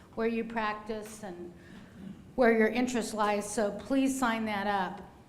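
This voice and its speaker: A woman's monotone, flat voice carries audible room echo along with noticeable background noise. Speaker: law clinic director and instructor. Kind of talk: lecture. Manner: fast.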